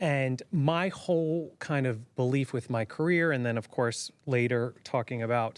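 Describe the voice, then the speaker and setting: A man with an American accent and an unremarkable speaking voice, medium-pitched with ordinary pitch variation, at a fairly slow pace with hardly any pauses and very even loudness, in a very clean recording with a silent background. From Zimbabwe. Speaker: humanitarian aid worker. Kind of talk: casual chat. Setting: studio.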